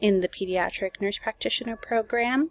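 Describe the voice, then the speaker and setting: Her pitch shifts in an ordinary way as the woman talks with a Spanish accent. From Minnesota. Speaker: nurse and graduate student. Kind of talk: self-introduction video. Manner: casual with filler words.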